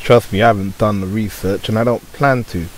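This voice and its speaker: With a British accent, the speech moves along fairly quickly. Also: man. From Britain. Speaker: YouTuber. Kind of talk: unscripted rant to camera.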